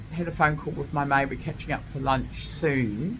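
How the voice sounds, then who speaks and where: There is audible room echo as a woman speaks. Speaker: vlogger. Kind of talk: casual monologue. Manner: loud; animated.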